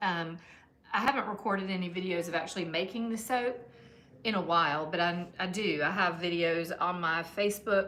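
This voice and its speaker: Audible room echo surrounds a woman speaking with a Southern US accent. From US South, Georgia. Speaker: soap maker, small business owner. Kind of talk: casual livestream chat while working. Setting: her shop, live stream. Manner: casual, with fillers and hesitations.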